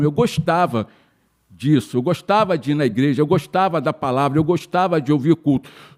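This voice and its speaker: Ordinary pitch variation marks a man talking at a moderate pace. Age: 60s. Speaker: church member, course participant. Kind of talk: testimony.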